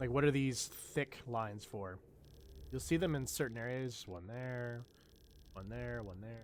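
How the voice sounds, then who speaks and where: A man talks at a medium pitch and a fairly slow pace, with long, frequent pauses. His loudness swings widely, while his pitch varies in an ordinary way. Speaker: gaming streamer. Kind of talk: casual live gameplay commentary.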